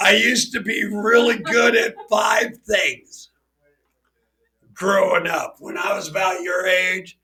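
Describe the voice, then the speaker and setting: A man's raised, projected voice at a high pitch and a very slow pace. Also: ordinary pitch variation. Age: 50s. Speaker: podcast host. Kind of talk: casual chat.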